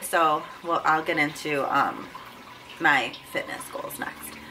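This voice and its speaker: Over noticeable background noise, a woman with an American accent speaks at a fairly slow pace in a very deep, low pitch with fairly even intonation. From Buffalo, New York, US. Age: 20s. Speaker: fitness vlogger, powerlifter. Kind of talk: casual vlog talk to camera. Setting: home, sitting in front of camera. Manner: casual with frequent fillers.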